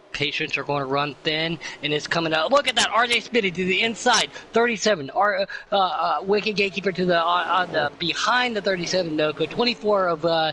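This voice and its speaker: Noticeable background noise sits under a man's excited, high-pitched voice. He talks at a fairly quick pace with ordinary pitch variation. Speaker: sim racing commentator. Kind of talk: live commentary. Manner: excited, fast.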